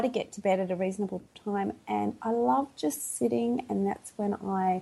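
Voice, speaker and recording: With an Australian accent, a woman talks at a moderate pace and a medium pitch. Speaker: podcast guest.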